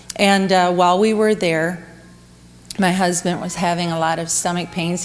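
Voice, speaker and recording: Amid audible room echo, a woman of fairly low pitch speaks at a moderate pace with fairly even intonation. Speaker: women's speaker at church camp. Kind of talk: sermon.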